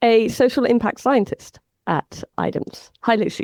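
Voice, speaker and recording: A woman speaks with an English accent, her fairly high voice touched by vocal fry. The sound is dry and close, with no echo. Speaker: podcast host, data scientist. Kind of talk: casual podcast discussion.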